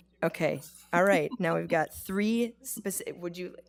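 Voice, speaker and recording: A woman's voice with vocal fry. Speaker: board chair. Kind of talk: formal meeting proceedings.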